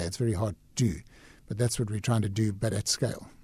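A man talks at a fairly quick pace in a medium pitch, his dark, mellow tone somewhat breathy and his pitch varying in an ordinary way. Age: 60s. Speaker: conservation businessman. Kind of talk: radio interview. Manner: hesitant, repeats words.

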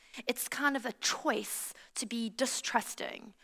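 A woman speaks with a South African accent. Her tone is bright, sharp and animated. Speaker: pastor. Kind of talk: sermon. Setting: church with live audience.

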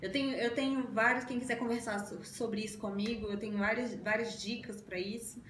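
A woman's fairly high, monotone voice at a moderate pace with hardly any pauses, amid noticeable background noise and audible room echo. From Brazil, Belo Horizonte, Minas Gerais. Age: 20s. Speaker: lawyer. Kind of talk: interview. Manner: halting.

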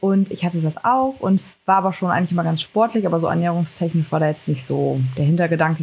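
Ordinary pitch variation runs through a somewhat breathy voice. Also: woman. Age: 20s. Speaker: fitness coach and amateur bodybuilder. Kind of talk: casual chat.

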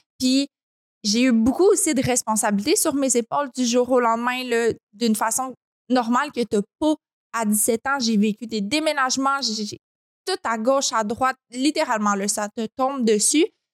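A high-pitched woman's voice with a Quebec accent, moderate in pace with long, frequent pauses and ordinary pitch variation, in a dry, close sound with no echo. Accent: Québécois French. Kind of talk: casual interview chat.

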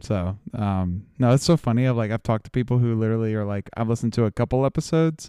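A man speaks at a fairly quick pace with fairly even intonation and a fairly low pitch, his tone dark and mellow. The recording is very clean with a silent background, dry and close with no echo. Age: 20s. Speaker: podcast host. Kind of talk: casual chat.

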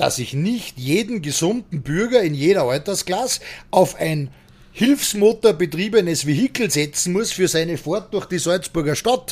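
Very wide pitch swings run through this man's speech at a moderate pace. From Austria. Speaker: bouncer. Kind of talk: casual interview.

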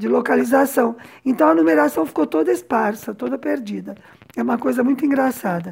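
This woman talks at a fairly quick pace in a medium pitch, with vocal fry. Her pitch swings very widely. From São Paulo, Brazil. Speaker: podcast host and translator. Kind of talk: personal storytelling podcast.

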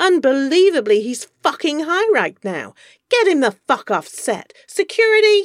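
A put-on character voice sits high in pitch and leaps through very wide swings. It moves at a moderate pace on a very clean recording with a silent background. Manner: aggressive, contemptuous, shouting.

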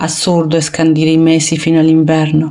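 This woman speaks with a very deep, low pitch. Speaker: poet. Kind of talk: reading aloud.

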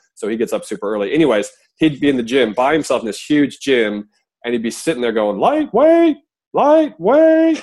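With a Midwestern accent, a man speaks at a moderate pace. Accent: American Midwest. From US Midwest, Iowa. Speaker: podcast host, father. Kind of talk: casual interview chat; scripted intro.

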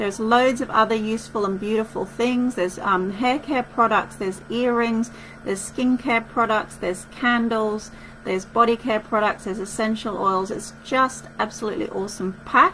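In an Australian accent, a woman talks at a moderate pace with fairly high pitch and fairly even intonation over noticeable background noise. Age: 40s. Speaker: wellness podcast host and retreat organiser. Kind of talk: casual solo podcast talk.

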